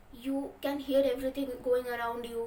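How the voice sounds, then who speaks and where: A woman talks at a moderate pace in a high voice. Room echo is audible. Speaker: book vlogger. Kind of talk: book review monologue. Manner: stuttering, self-correcting.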